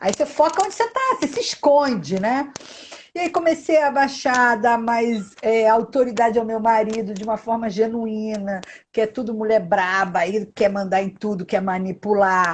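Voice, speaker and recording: A woman's somewhat breathy, fairly high voice at a moderate pace, with lively intonation. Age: 60s. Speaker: live stream host. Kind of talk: live video chat.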